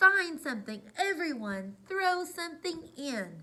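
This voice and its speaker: A woman uses a put-on character voice with extremely high pitch. She talks at a fairly slow pace. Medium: read story.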